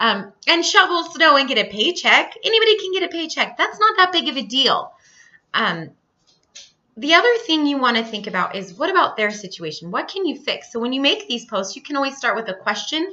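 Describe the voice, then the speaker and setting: Pitch rises and falls across a very wide range. The voice is raised and projected. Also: woman, high pitch for a woman, fairly quick pace. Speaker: health and fitness business coach. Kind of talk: training talk to team on recorded video. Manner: animated, energetic.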